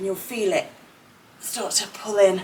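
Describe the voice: The delivery has fairly even intonation at a fairly slow pace, with audible room echo. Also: woman, medium pitch for a woman.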